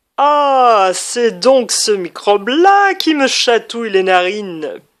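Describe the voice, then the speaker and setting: A woman uses a put-on character voice at a fairly high pitch. She talks at a fairly slow pace. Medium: read story. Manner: gentle, courteous.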